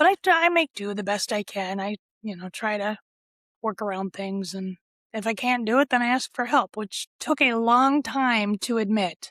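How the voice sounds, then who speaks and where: In a very clean recording with a silent background and a dry, close sound free of echo, a woman speaks at a moderate pace in a fairly high pitch with ordinary pitch variation. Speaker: mesothelioma survivor and patient advocate. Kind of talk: interview. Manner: quiet.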